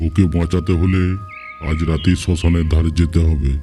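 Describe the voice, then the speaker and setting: A cartoonish character voice with monotone, flat intonation. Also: man, very deep, low pitch for a man, moderate pace. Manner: stern, authoritative.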